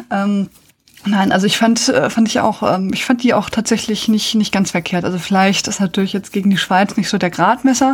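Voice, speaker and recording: Noticeable background noise sits behind speech at a moderate pace with fairly even intonation. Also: woman, medium pitch for a woman. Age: 40s. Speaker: podcast host. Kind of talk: casual chat.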